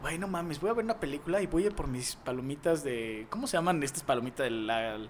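Speaking at a fairly quick pace, a man with a fairly high voice uses lively intonation. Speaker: podcast co-host. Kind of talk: casual chat.

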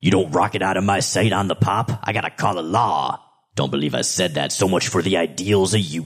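In a put-on character voice with a strong Bronx accent, a man talks at a fairly quick pace in a very deep, low pitch. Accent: heavy Bronx. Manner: gruff, suspicious.

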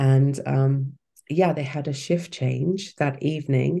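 A woman in a British accent, very deep and low in pitch, dark and mellow in tone, at a fairly slow pace. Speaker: cancer survivor and life coach. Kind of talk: casual interview chat.

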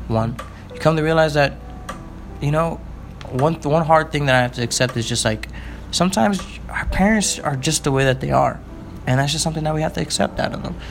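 Over noticeable background noise, a man talks at a very fast pace in an animated tone, broken by long, frequent pauses. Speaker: podcast co-host. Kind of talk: casual banter chat. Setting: recording at home. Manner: animated, joking, rambling.

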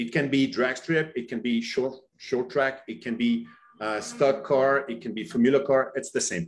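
This man talks at a moderate pace with a medium pitch. He has an ordinary speaking voice and ordinary pitch variation. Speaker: company representative. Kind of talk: webinar presentation.

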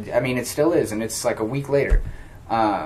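This is a man speaking. His pitch is fairly high. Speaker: podcast host. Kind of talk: casual chat.

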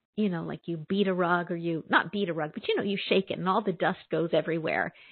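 This woman uses a normal speaking voice, pitched fairly low, and her pitch varies in an ordinary way. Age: 50s. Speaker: prayer radio host, spiritual minister. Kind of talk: call-in conversation; guided prayer and meditation. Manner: slow, soothing.

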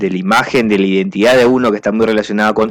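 This man has an unremarkable speaking voice. His pitch is medium, with ordinary variation. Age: 30s. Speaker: radio host. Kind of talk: casual chat.

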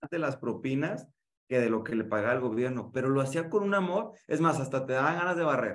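A man with a Mexican accent speaks in an animated tone at a fairly quick pace and medium pitch, his intonation lively. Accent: Mexican Spanish (Jalisco). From Mexico, Guadalajara. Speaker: podcast host and communication coach. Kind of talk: casual interview chat.

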